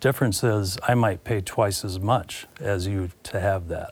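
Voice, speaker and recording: A man speaks with a Midwestern American accent at a fairly slow pace. His voice is fairly low and somewhat breathy. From Iowa, US Midwest. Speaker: commodities broker. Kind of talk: interview. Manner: halting, many fillers.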